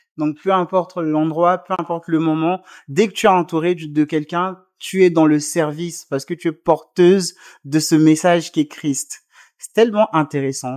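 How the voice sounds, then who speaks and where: The speaker talks at a moderate pace. The recording is very clean, with a silent background. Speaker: interview show host. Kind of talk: interview questions.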